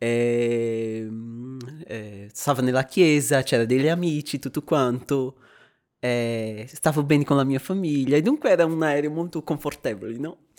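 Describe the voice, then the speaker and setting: Ordinary pitch variation at a fairly slow pace, in a very clean recording with a silent background. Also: man, medium pitch for a man. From Brazil. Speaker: theology student sharing faith story. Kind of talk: faith testimony in podcast interview. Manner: halting, with repetitions.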